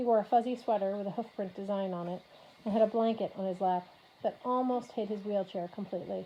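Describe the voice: This is plain reading aloud. The delivery stays plain throughout.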